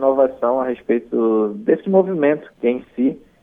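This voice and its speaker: A man speaks at a moderate pace in a fairly high pitch. His is an unremarkable speaking voice. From Maués, interior of Amazonas, Brazil. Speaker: musician and DJ. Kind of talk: interview.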